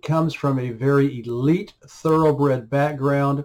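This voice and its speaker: A man with an ordinary speaking voice talks at a moderate pace in a fairly high pitch with fairly even intonation. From US, Oklahoma. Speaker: writer and commentator. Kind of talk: reading aloud.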